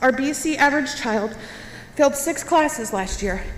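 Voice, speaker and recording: Against noticeable background noise, a woman speaks at a moderate pace in a high pitch with lively intonation. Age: 30s. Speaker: parent speaking at public comment. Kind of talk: public comment speech.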